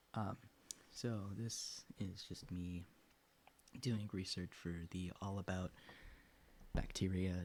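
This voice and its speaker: A man with a very deep, low pitch talks in a somewhat breathy voice with fairly even intonation. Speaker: science streamer. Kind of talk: casual livestream research session. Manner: mumbling to himself while reading.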